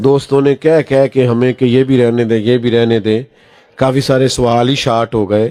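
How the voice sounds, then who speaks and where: This man's tone is dark and mellow, at a medium pitch. His intonation stays monotone and flat. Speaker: Islamic preacher. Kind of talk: religious sermon (bayan) at a gathering. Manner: emotional, conversational, anecdotal.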